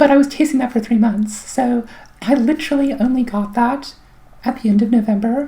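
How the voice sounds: This woman's voice has a dark, mellow tone with a slightly husky edge. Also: fairly high pitch for a woman, ordinary pitch variation, fairly quick pace.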